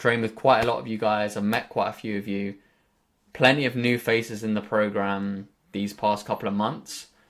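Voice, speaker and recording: With a southern English accent, this speaker's loudness swings widely while the intonation stays fairly even. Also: man, fairly low pitch for a man, moderate pace. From southern England. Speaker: fitness coach. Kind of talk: group coaching call talk. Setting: group video call.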